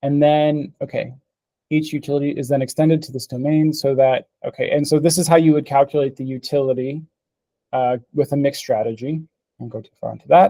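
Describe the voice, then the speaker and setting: A dark, mellow voice at a fairly quick pace, with fairly even intonation, big swings in loudness and a dry, close sound with no echo. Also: man, fairly high pitch for a man. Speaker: paper presenter at a reading group. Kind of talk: technical presentation with discussion. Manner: halting, many fillers and restarts.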